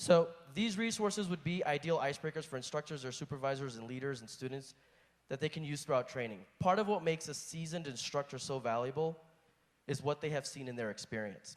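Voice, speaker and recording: Talking at a very fast pace, a man uses a fairly high pitch and lively intonation. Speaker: flight instructor asking a question. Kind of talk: audience question at conference panel. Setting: conference hall. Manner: reading from notes.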